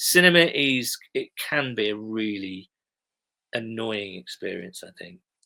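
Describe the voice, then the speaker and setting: Speaking at a fairly slow pace, a man with an English accent has a medium pitch, a bright, sharp tone, lively intonation and big swings in loudness, recorded with a dry, close sound and no echo. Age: middle-aged. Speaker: TV blogger and sports fan. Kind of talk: casual chat.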